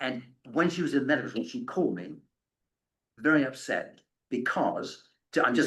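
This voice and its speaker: The pace of this man's speech is moderate. Echo from the room can be heard. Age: 70s. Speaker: author and end-of-life speaker. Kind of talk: lecture with audience questions. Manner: halting, many repetitions.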